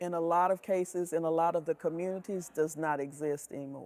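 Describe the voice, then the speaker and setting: A woman speaks with an Alabama accent. Her tone is dark and mellow, her intonation fairly even. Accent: Southern US (Alabama). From US South, Selma, Alabama. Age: 60s. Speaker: retired educator, advocate. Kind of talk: interview testimony. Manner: halting, with fillers.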